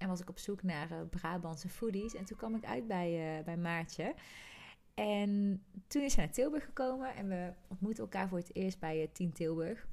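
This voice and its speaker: A woman at medium pitch speaks at a moderate pace with lively intonation. Her tone is dark and mellow. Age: 30s. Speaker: podcast co-host, coach and trainer. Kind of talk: casual chat.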